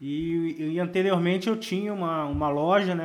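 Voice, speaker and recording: A man with an unremarkable speaking voice talks at a moderate pace and a fairly high pitch, with ordinary pitch variation. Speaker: marketing consultant, podcast co-host. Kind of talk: casual chat.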